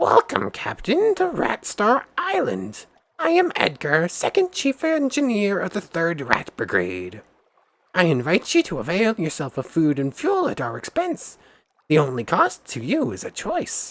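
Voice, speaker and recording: The man's voice is a put-on character voice. It sits high in pitch. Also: moderate pace. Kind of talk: formal.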